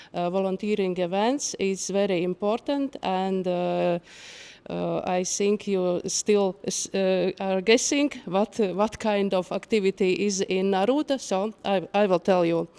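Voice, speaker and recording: In a Latvian accent, a woman speaks at a fairly slow pace and medium pitch with ordinary pitch variation, her dark, mellow tone caught in a dry, close sound with no echo. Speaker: nature conservation outreach worker. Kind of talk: conference presentation. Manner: halting, reading from paper.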